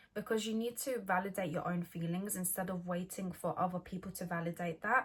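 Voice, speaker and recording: Speaking at a medium pitch, a woman sounds somewhat breathy. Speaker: mindfulness vlogger. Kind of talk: casual vlog talk. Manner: halting; partly scripted.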